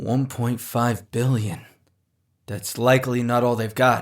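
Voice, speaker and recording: A man in a put-on character voice sounds raspy and nervous, speaking fairly slowly at a medium pitch with monotone, flat intonation. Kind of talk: audio drama. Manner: casual, nervous.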